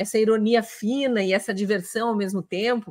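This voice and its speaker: A woman is heard against a quiet background. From Brazil, Curitiba; Brazil. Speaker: interview show host, journalist. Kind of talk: interview, live broadcast. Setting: live video stream, simulcast on radio. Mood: warm, friendly. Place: home room. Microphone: earbuds.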